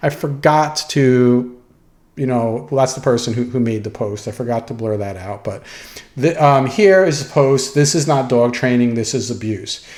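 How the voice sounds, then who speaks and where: Amid noticeable background noise and audible room echo, a man speaks at a moderate pace. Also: medium pitch for a man, ordinary pitch variation. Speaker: dog trainer. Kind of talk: lecture. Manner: hesitant, with fillers.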